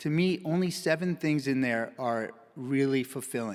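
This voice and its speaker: A man's ordinary speaking voice at medium pitch, with ordinary pitch variation, on a very clean recording with a silent background. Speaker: physician giving a conference talk. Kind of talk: conference presentation.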